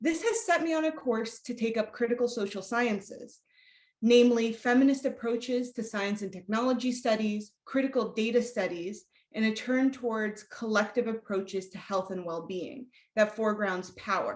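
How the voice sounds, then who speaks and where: Her pitch is fairly high for a woman, with ordinary variation. She speaks at a moderate pace. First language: Spanish. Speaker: academic researcher. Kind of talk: lecture. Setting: video call. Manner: formal.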